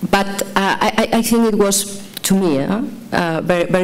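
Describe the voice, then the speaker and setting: A woman at a fairly slow pace, ordinary in pitch variation, with noticeable background noise. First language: Catalan. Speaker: novelist. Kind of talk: panel discussion. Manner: halting.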